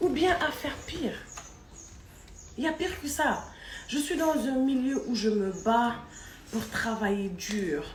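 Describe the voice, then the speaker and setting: Speaking very slowly with long, frequent pauses, a woman's high voice swings very widely in pitch, with audible room echo and noticeable background noise. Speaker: vlogger. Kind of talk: video commentary. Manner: louder than before; soft-spoken.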